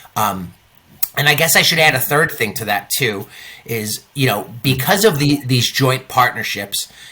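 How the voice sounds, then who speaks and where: Bright, sharp tone with an American accent. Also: man, medium pitch for a man, lively intonation, moderate pace. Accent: New York, comes in and out. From New York. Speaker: cruise line sales manager. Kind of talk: interview. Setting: on a cruise ship.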